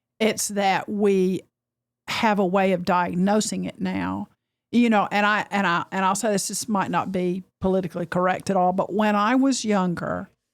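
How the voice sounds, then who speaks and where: A woman's medium-pitched voice in an Appalachian accent, monotone and flat at a moderate pace, on a very clean recording with a silent background. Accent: very Southern and mountainy. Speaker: podcast host. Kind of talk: interview.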